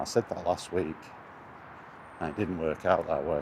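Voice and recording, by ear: At a moderate pace, a man speaks with a low pitch and a slightly mellow tone.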